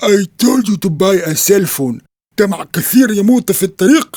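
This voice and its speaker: In a cartoonish character voice, a man speaks at a high pitch and a moderate pace. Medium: puppet show. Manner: deadpan, mischievous.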